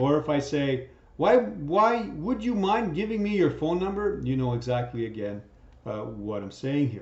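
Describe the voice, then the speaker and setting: Over audible room echo, a man with a fairly high, somewhat breathy voice talks at a moderate pace, his pitch swinging very widely. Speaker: teacher. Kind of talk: lecture.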